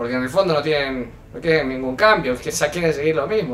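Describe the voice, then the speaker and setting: Very fast speech from a man. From Argentina. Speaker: youtuber commenting on political clip. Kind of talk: video commentary. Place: home room.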